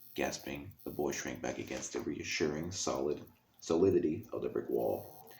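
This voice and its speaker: A soft-spoken man at a moderate pace, dark and mellow in tone with vocal fry. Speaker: ASMR reader. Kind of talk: ASMR book reading.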